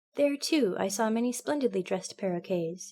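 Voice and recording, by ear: Intonation rises and falls in a lively way. The clip is reading aloud in a natural voice.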